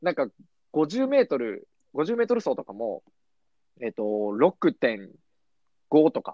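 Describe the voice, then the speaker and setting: A man with a fairly high pitch speaks at a fairly slow pace, with long, frequent pauses. His loudness swings a lot, and his pitch swings very widely. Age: 20s. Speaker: podcast host. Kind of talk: casual chat. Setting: studio.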